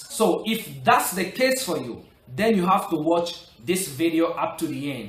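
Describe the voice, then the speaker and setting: A man is speaking with music in the background. Room echo can be heard. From Republic of the Congo. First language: French. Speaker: English learning vlogger. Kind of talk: motivational tutorial.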